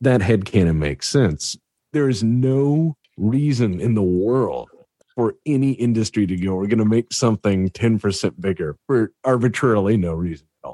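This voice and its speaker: A man speaks at a fairly low pitch in a dark, mellow tone with lively intonation. His pace is moderate, and the sound is dry and close with no echo. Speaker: YouTube narrator and host. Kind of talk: casual chat. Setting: video call.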